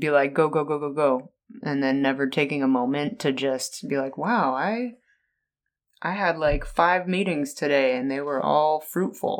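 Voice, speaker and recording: At a moderate pace, a man with a fairly high pitch and ordinary pitch variation speaks in an ordinary speaking voice. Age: 30s. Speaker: podcast co-host. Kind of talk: casual chat.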